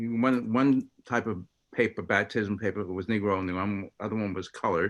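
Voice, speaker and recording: With an American accent, a man talks at a moderate pace using fairly even intonation. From Long Island, New York. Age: 60s. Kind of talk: storytelling talk. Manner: halting.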